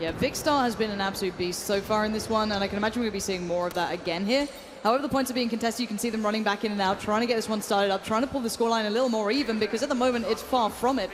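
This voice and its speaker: A woman speaks very fast at a fairly high pitch. Audible room echo and noticeable background noise surround her. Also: ordinary pitch variation, hardly any pauses. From England. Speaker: esports commentator. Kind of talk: live commentary. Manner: animated.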